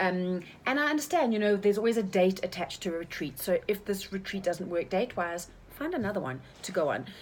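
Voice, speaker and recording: Very fast and full of lively intonation, a woman speaks in a medium pitch. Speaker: life coach and retreat leader. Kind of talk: casual chat.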